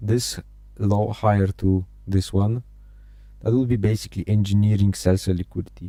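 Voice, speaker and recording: A man with a non-native accent and a dark, mellow tone, monotone and flat in intonation, very even in loudness, at a moderate pace with long, frequent pauses. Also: fairly low pitch for a man. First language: not English. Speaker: day trading streamer. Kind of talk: live trading stream commentary. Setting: live stream. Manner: halting, frequent repetitions and fillers.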